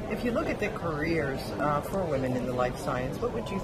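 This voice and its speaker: Loud background noise sits behind this woman's voice. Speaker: biotech executive interviewer. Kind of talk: conference interview. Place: hall. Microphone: handheld.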